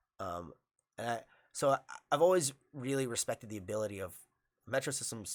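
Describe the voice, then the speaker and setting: A man speaks at a fairly quick pace in a medium pitch with ordinary pitch variation, his voice dry and close with no echo on a very clean recording over a silent background. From New York, Long Island. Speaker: jiu-jitsu instructor. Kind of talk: casual chat. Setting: studio. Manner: halting, many fillers.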